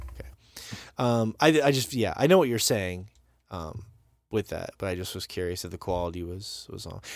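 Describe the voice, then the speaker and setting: A man speaks in an American accent with a fairly low pitch and lively intonation. The recording is very clean, with a silent background. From Montana. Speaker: podcast host. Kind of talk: casual chat. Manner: fast.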